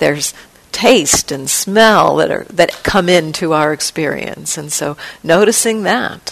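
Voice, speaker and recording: Lively intonation at a fairly slow pace, with noticeable background noise. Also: woman, fairly low pitch for a woman. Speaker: meditation teacher. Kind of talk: guided meditation. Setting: meditation hall retreat. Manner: slow, gentle, soft-spoken, with long pauses; calm, soothing, tentative, suggesting with 'maybe'.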